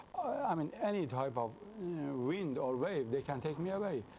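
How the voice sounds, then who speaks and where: This man has a dark, mellow tone and a Persian accent. His intonation is lively. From Iran, Mashhad. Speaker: convert sharing his testimony. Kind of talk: interview testimony. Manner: halting.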